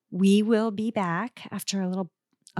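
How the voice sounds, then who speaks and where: At a moderate pace and a medium pitch, a woman speaks with a dry, close sound and no echo in a very clean recording with a silent background. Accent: Midwestern US. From US Midwest. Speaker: podcast host. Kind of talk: casual chat.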